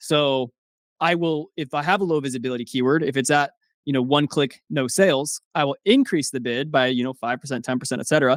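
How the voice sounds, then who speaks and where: A man's fairly quick delivery with ordinary pitch variation. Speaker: software founder, Amazon ads expert. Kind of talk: casual interview chat. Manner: fast; animated.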